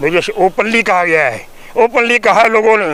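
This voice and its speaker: A man's raised, projected voice, high in pitch with ordinary variation, amid noticeable background noise. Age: 70s. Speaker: social activist. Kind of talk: interview. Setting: outdoors. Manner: animated.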